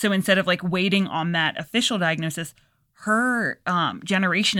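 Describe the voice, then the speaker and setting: Recorded very cleanly against a silent background, a plain, everyday voice talks at a fairly quick pace with ordinary pitch variation. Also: woman. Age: 30s. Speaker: tattoo artist. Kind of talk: casual chat. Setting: home studio.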